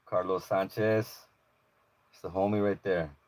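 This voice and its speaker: Very deep and low-pitched, a man speaks with an American accent at a moderate pace. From Los Angeles area, California (Maywood). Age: 40s. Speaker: YouTuber, police audit channel. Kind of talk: live stream chat with viewers. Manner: casual, filler-heavy.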